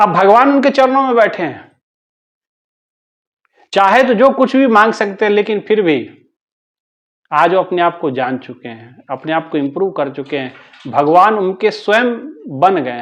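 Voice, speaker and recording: The voice swings very widely in pitch and loudness, broken by long, frequent pauses. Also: man, high pitch for a man. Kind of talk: spiritual discourse (satsang).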